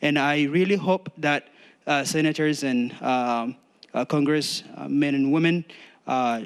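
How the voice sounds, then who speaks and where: A man speaks with a non-native accent. His pitch is fairly high, with ordinary pitch variation. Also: fairly slow pace. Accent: foreign. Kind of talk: public testimony. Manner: halting.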